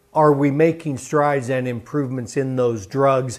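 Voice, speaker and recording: A plain, everyday voice from a man, at a moderate pace with fairly even intonation. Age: 60s. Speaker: TV news host. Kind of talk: TV health interview.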